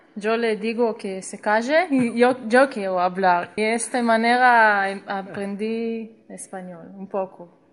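A woman with a Russian accent, fairly high in pitch, at a very slow pace with hardly any pauses, ordinary pitch variation and big swings in loudness. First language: Russian (speaking Spanish). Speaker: host's daughter-in-law. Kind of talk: casual chat.

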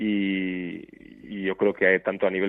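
A man speaks in a monotone with flat intonation. His pitch sits fairly low. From Basque Country, Portugalete (Biscay). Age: 40s. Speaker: basketball coach. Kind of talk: interview.

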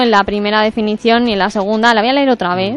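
A woman speaks very fast with fairly even intonation. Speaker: radio contributor on philosophy. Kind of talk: radio segment.

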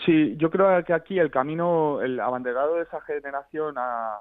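The speaker has a normal speaking voice, ordinary pitch variation and a moderate pace. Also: man. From Basque Country, Spain (San Sebastián). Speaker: journalist. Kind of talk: radio interview.

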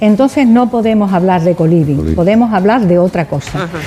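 A woman's pitch swings very widely while music plays behind her. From Seville, Spain. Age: 70s. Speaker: senior cohousing resident. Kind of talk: radio interview.

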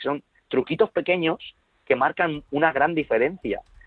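This man has an ordinary speaking voice. He talks at a moderate pace and a fairly high pitch. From Spain. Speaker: productivity author and consultant. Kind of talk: interview.

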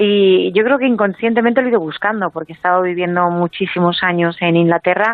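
In an unremarkable speaking voice, a woman talks at a medium pitch with ordinary pitch variation. Her pace is fairly quick, with hardly any pauses. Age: 40s. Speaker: author and emotional wellbeing coach. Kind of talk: interview.

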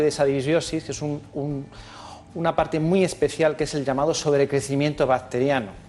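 Noticeable background noise under a fairly high-pitched male voice. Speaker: allergist doctor. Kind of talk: medical explanation in interview.

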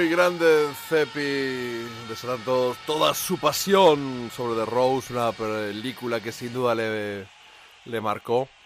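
Music plays in the background as the speaker talks at a very slow pace with ordinary pitch variation. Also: man, medium pitch for a man. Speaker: radio host. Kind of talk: radio show hosting with music talk. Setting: studio.

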